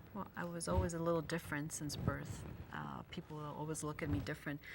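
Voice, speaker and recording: A woman with vocal fry at a fairly quick pace. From Luxembourg, immigrated to Canada as a child. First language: Italian. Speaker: spiritual healer and medium. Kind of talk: casual chat.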